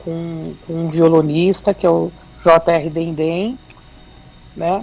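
A woman's fairly low, monotone voice with flat intonation at a very slow pace, with music in the background. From São Paulo city, Brazil. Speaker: independent singer. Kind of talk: radio interview.

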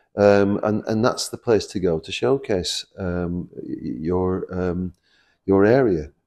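Against a quiet background, a man with a dark, mellow tone and a fairly low pitch speaks at a very slow pace with ordinary pitch variation. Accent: Lancashire. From Preston, Lancashire. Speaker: construction company chairman. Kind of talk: interview. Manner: hesitant, many fillers and repeats.

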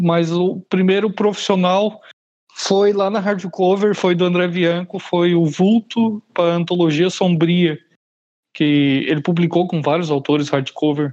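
A man speaks fairly slowly in a high pitch, with fairly even intonation. His loudness stays very even throughout. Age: 30s. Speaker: horror fiction writer. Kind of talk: casual interview.

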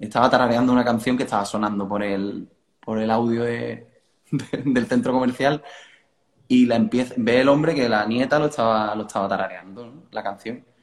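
An ordinary speaking voice: a man at medium pitch, moderate pace, and fairly even intonation. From Cádiz, Andalusia, Spain. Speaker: rock band vocalist. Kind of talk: casual interview. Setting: video call from living room.

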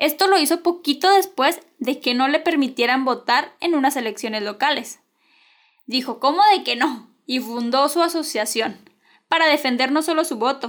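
A woman with a Mexican accent speaks at a moderate pace in an animated tone. Her pitch is high with ordinary variation, on a very clean recording with a silent background. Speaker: podcast host. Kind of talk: scripted storytelling narration.

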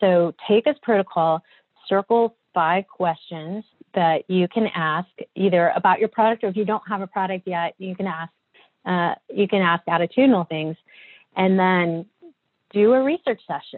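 A woman speaks in a plain, everyday voice. Her pitch is medium, with ordinary variation. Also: moderate pace. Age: 40s. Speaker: design agency partner and author. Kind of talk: interview conversation.

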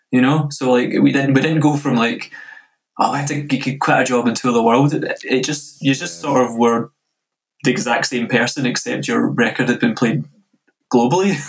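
With a west of Scotland accent, a man at medium pitch talks at a moderate pace with vocal fry and ordinary pitch variation. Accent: west of Scotland Scottish. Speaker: DJ and music producer. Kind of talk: casual interview.

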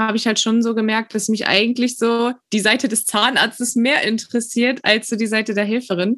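The speaker uses an ordinary speaking voice. The pace is moderate. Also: woman. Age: 20s. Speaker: dental student, trained dental assistant. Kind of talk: interview.

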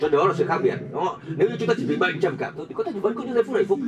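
Noticeable background noise is present throughout. Over it, a man talks at a very fast pace. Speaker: seminar speaker. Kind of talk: motivational seminar talk. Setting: live seminar with audience. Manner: animated, motivational.

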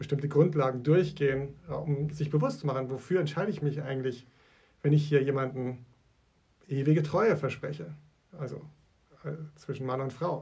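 Through audible room echo, a man with a fairly high pitch and a dark, mellow, somewhat breathy tone speaks at a moderate pace with fairly even intonation. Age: 40s. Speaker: church leader, podcast co-host. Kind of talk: casual chat.

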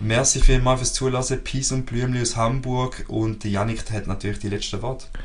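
A man's medium-pitched, monotone, flat delivery at a moderate pace with hardly any pauses, plus audible room echo and noticeable background noise. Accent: Swiss. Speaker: podcast co-host. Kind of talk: casual chat.

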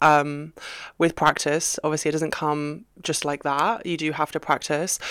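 A woman with a British accent speaks at a fairly slow pace in a very deep, low pitch, recorded very cleanly over a silent background. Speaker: podcast co-host. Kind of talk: pep talk. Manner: warm, reassuring, conversational.

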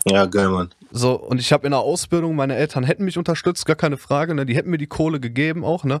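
A fairly high-pitched man at a very fast pace, with lively intonation and a dry, close sound with no echo. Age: 20s. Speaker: podcast co-host. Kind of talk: casual chat. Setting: basement.

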